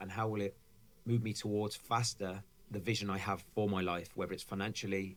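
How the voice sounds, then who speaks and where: This man talks at a fairly quick pace in a fairly low pitch. His intonation is monotone and flat. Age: 40s. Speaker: fitness coach, founder of a coaching programme. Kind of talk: podcast interview. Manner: fast.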